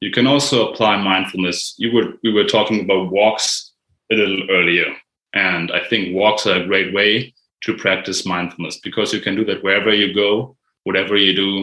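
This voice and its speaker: Using a German accent, a man with fairly low pitch and a bright, sharp tone talks at a moderate pace with fairly even intonation. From Germany. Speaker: mindfulness writer and online creator. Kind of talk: casual conversation.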